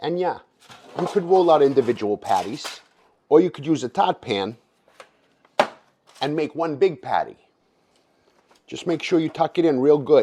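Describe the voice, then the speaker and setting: A man speaks with lively intonation at a moderate pace, leaving long, frequent pauses. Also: fairly high pitch for a man. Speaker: home cook. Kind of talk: cooking tutorial narration. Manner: casual, profane.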